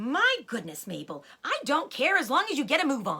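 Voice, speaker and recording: At a moderate pace, a female-sounding put-on character voice projects loudly at a high pitch. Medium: read story. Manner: impatient, calling from upstairs.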